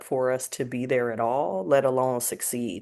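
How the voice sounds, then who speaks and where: Moderate-paced speech from a woman, quiet background behind her. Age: 30s. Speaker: philanthropy professional, panelist. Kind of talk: panel discussion.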